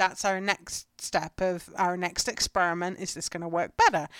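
This speaker has an English accent and talks at a moderate pace. The recording is very clean and dry, with a silent background and no echo. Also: woman. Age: 30s. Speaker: homesteading podcast host. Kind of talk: solo podcast monologue. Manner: casual.

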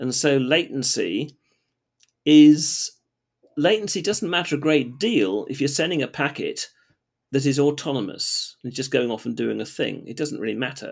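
Speaking at a moderate pace, a man with a fairly high pitch shows vocal fry and ordinary pitch variation. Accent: southern English. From England. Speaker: database developer, former lawyer. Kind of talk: casual interview chat.

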